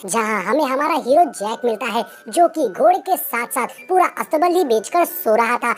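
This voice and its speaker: A female-sounding, put-on character voice speaks high at a moderate pace. Music sounds in the background. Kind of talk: movie explanation narration. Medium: read story. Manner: brisk, chatty.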